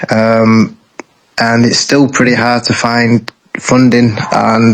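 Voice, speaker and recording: A man speaks at a medium pitch with a Lancashire accent. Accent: British, Lancashire. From northern England, Bolton. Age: 20s. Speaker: game developer. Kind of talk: interview.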